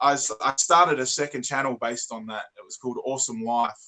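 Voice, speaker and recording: A man with an Australian accent talks at a very fast pace in a medium pitch. His tone is bright and sharp, with fairly even intonation. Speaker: toy reviewer YouTuber. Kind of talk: casual interview chat. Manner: stutters and repeats words.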